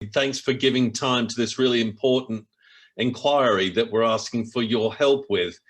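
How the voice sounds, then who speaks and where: The speaker is a man with an Australian accent and a medium-pitched voice. He keeps a moderate pace and fairly even intonation. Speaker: local councillor. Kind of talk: formal introduction speech.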